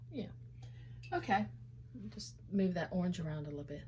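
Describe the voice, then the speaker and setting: The speaker mumbles in a somewhat breathy voice, with audible room echo around it. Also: woman. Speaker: painter. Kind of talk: painting tutorial, thinking aloud. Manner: mumbling; hesitant, many fillers.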